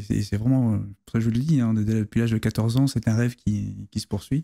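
A man's dark, mellow voice at medium pitch, fairly even in intonation, at a moderate pace against a quiet background. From La Rochelle, western France; France. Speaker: navy officer and history author; guest. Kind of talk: interview conversation. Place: studio. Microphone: studio mic.

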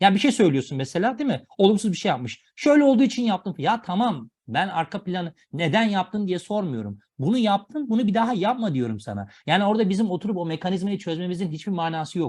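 A man talks at a fairly quick pace and high pitch, with very wide pitch swings and hardly any pauses. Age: 30s. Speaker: educational video presenter. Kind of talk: lecture.

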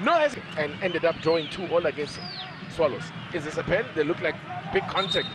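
A man speaks in an animated tone with very wide pitch swings. Noticeable background noise is present. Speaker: football commentator. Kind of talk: live football commentary. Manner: animated, excitable play-by-play.

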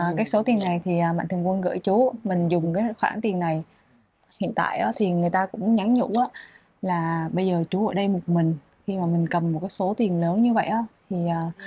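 Over light background noise, a woman speaks at a moderate pace, somewhat breathy, with a dark, mellow tone and ordinary pitch variation. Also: dry sound with no echo. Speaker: charity vlogger interviewing people in hardship. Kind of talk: casual interview vlog. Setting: outdoors on location at a home. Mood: gentle, caring. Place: home room. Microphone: lapel.

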